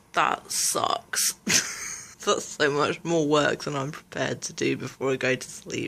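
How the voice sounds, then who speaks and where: A woman with a British accent at a fairly slow pace. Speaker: vlogger. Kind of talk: casual vlog chat.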